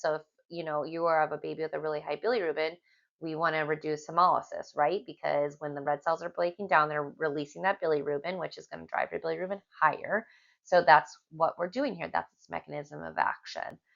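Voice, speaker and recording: Putting on a raspy character voice, a woman speaks at a fairly quick pace with a very deep, low pitch and big swings in loudness. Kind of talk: clinical, explanatory. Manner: talking very fast.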